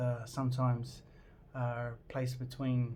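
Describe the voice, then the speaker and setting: A somewhat breathy man's voice, medium in pitch, at a fairly slow pace, with audible room echo. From New Zealand. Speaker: vlogger. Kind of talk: casual personal vlog intro. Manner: hesitant, many fillers.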